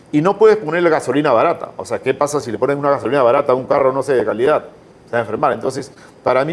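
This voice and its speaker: This man talks at a very fast pace with a fairly high pitch. His intonation is lively. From Peru. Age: 60s. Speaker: entrepreneur. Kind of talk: interview conversation. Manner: animated.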